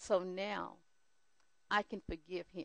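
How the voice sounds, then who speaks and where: Fairly low-pitched, fairly slow speech from a woman, with a dry, close sound and no echo. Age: 60s. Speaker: church counselor sharing testimony. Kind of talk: testimony.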